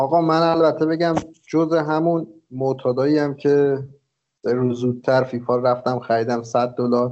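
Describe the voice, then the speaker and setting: An ordinary speaking voice from a man, medium in pitch, with fairly even intonation and very even loudness. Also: moderate pace. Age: 30s. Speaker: podcast co-host. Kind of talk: casual chat.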